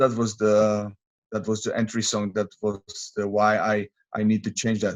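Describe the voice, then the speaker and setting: A man with a Czech accent, medium pitch and very slow pace. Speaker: MMA fighter. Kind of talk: interview. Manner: halting.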